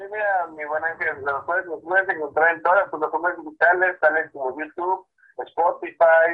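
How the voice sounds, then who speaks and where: This man talks at a moderate pace in a high-pitched voice. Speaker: band percussionist. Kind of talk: radio interview. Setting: phone call. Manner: halting.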